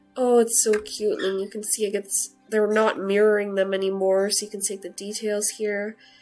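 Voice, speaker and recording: With music in the background, a woman speaks in monotone, flat intonation at a moderate pace and a medium pitch. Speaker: video game content creator. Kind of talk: casual game commentary to camera.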